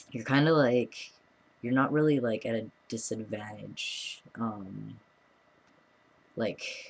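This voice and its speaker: This man's voice has ordinary pitch variation. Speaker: vlogger. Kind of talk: casual vlog update. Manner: hesitant, many fillers.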